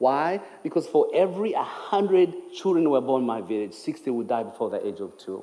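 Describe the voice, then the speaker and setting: Speaking at a fairly quick pace with a Ugandan accent, a man talks over noticeable background noise in a room with audible echo. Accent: Ugandan English (jokes it is North Carolina). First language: Ugandan language; English is his fourth. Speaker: speaker for a charity. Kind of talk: testimony. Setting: church.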